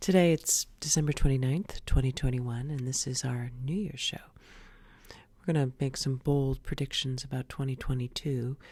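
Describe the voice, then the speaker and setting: Very clean audio with a silent background, the pace moderate. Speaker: podcast host, sports-media commentator. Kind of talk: comedic podcast monologue / satirical commentary. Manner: sarcastic, tongue-in-cheek.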